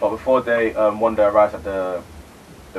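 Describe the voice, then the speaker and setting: A man talks at a moderate pace. Noticeable background noise runs beneath his voice. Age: 20s. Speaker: podcast co-host, youngest sibling. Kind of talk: casual chat and movie review.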